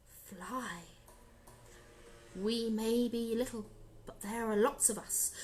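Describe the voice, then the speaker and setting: Over clear background noise, a put-on character voice speaks at a fairly slow pace with long, frequent pauses. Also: female-sounding voice, fairly high pitch for a woman. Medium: read story. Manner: confident, resourceful.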